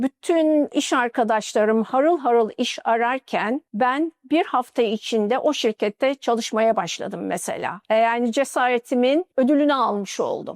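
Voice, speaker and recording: With an Arabic accent, a woman speaks at a high pitch and a fairly slow pace, with ordinary pitch variation, hardly any pauses and very even loudness, in a dry, close sound with no echo. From Turkey, Mardin then Istanbul. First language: Arabic (speaking Turkish). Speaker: engineer. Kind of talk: interview testimony.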